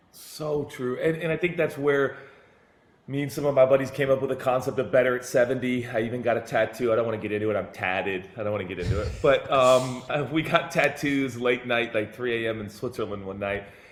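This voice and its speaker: Medium in pitch, a man talks at a fairly quick pace with ordinary pitch variation. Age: 40s. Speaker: pastor. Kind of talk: casual chat. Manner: animated; halting.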